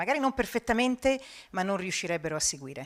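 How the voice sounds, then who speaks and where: A woman with an Italian accent and very wide pitch swings. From Italy. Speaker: TV news presenter and journalist. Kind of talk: conference talk and Q&A.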